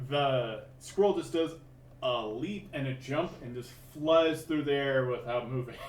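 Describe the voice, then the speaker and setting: A man speaks at a fairly high pitch with ordinary pitch variation. His pace is fairly slow, and audible room echo surrounds the voice. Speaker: dungeon master. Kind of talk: tabletop game narration. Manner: loud; animated.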